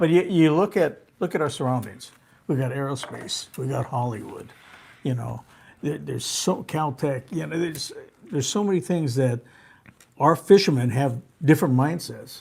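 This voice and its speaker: A man with an American accent and fairly high pitch talks at a moderate pace with ordinary pitch variation, leaving long, frequent pauses. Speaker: veteran sportfishing captain. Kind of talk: live talk show interview answer.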